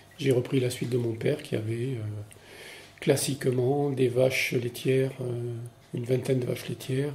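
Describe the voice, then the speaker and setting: The man's dark, mellow voice comes out somewhat breathy and delivered in a flat monotone. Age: 60s. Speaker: retired farmer. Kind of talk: interview. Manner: hesitant, many filler words.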